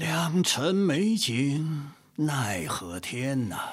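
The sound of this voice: A man in a put-on character voice, fairly high-pitched, at a very slow pace with big pitch swings.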